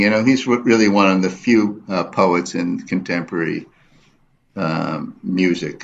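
Very deep and low, a man's voice with a New York accent holds fairly even intonation at a moderate pace. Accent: New York American English. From US, New York City. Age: 70s. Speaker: photographer and artist. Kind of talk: radio interview. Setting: studio. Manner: halting.

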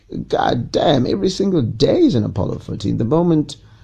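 This man's voice is somewhat breathy, with a dark, mellow tone. He moves at a moderate pace with ordinary pitch variation. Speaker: podcast host and radio presenter. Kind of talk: casual monologue. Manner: hesitant with repetitions; unscripted.

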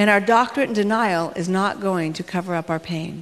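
A woman with an unremarkable speaking voice talks in an American accent. Her pitch is medium, her pace moderate, and her pitch variation ordinary. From US West Coast, Los Angeles. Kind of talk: motivational talk. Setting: stage with audience.

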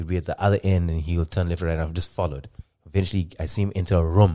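A man with a very deep, low voice and a dark, mellow tone talks at a very fast pace, the sound dry and close with no echo. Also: very clean recording, silent background. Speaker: podcast host. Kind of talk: casual chat. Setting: studio. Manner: animated, laughs often.

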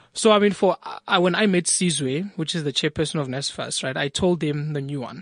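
At a fairly quick pace, a man speaks with a fairly high pitch and ordinary pitch variation in an unremarkable speaking voice. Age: 20s. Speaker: entrepreneur. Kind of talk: interview. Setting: studio.

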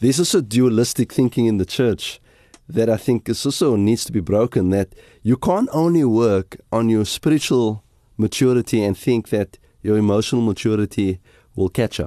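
This man talks at medium pitch and a moderate pace with ordinary pitch variation. The sound is dry and close, without echo. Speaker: pastor. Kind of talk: casual chat. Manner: halting.

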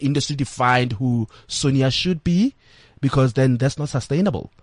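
Breathing a little into his words, a man with a fairly high pitch and ordinary pitch variation speaks at a moderate pace, the sound dry and close with no echo over a quiet background. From South Africa, rural village. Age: 30s. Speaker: entertainment commentator and blogger. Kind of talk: interview. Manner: halting, many fillers and repetitions.

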